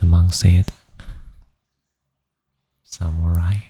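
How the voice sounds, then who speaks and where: Soft-spoken and somewhat breathy, a man with a non-native accent speaks in a very deep, low pitch with a dark, mellow tone. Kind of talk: ASMR sleep storytelling. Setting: home studio, USB microphone.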